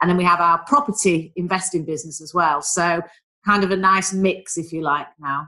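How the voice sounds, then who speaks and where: Speaking in a Manchester accent, the woman has a fairly low pitch, a bright, sharp tone, ordinary pitch variation and a moderate pace. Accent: Mancunian northern English. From Manchester, northern England. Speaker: business mentor and former travel executive. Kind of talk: casual interview.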